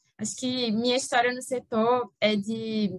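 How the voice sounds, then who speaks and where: This woman talks with a fairly high pitch. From Brazil, Recife (Pernambuco). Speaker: energy lawyer. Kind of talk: podcast interview.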